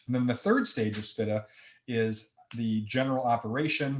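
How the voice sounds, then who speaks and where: A somewhat breathy man with a Midwestern accent. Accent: Midwestern, heavy nasal. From US Midwest. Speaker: accounting presenter. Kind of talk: webinar lecture. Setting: online webinar.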